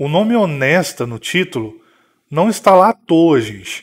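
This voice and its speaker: A man's high voice makes very wide pitch swings. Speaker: gaming YouTuber. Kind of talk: vlog monologue. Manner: scripted.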